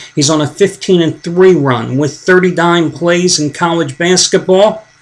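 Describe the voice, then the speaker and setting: Noticeable background noise beneath fairly slow speech. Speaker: sports betting handicapping promoter. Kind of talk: sales pitch. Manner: mumbling.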